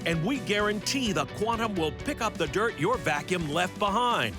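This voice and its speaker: Music plays in the background while a man speaks in a raised, projected voice. His pitch is high and his loudness very even. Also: lively intonation, moderate pace. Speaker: announcer. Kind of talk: TV infomercial voice-over. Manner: emphatic, salesy.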